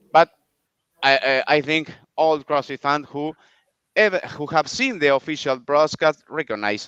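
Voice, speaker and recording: A man with a Spanish accent speaks at a fairly high pitch and a fairly slow pace, in a dry, close sound with no echo. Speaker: podcast host. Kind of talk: interview introduction. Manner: halting, repeated words.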